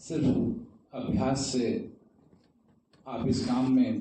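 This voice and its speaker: A man's voice with audible room echo. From India, Varanasi. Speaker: tabla player. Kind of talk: talk at a seminar. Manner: formal.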